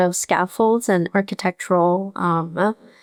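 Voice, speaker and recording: A woman with a Korean accent speaks at a fairly slow pace in a flat monotone at medium pitch, recorded dry and close with no echo on a very clean track with a silent background. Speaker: painter. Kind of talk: interview. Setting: art gallery. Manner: hesitant, many fillers.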